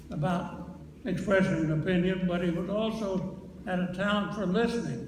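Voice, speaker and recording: A man with a high voice speaks in a fairly even tone over noticeable background noise. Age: 80s+. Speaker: former US senator. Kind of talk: eulogy.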